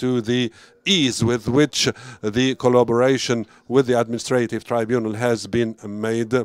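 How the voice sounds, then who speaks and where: The sound is dry and close with no echo as a man with a medium pitch speaks in a monotone, flat intonation. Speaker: program director. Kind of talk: formal speech. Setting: conference event streamed online. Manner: halting.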